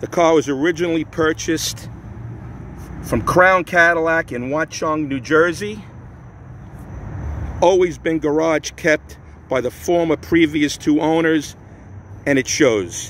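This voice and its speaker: A man with long, frequent pauses and ordinary pitch variation, in a dry sound with no echo over light background noise. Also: fairly slow pace. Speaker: car seller. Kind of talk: sales walkaround narration. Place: street. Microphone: phone near.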